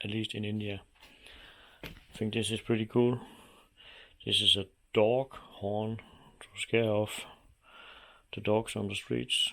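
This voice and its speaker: Speaking in a Danish accent, a man uses a fairly low pitch and a bright, sharp tone, with monotone, flat intonation, a fairly slow pace and long, frequent pauses. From Denmark. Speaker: motorcycle hobbyist vlogger. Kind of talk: casual vlog commentary.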